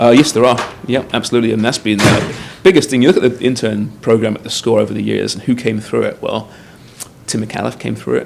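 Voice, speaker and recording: Through noticeable background noise, a man with an English accent talks at a very fast pace in a medium-pitched voice with ordinary pitch variation. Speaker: soccer TV show host. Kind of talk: casual interview.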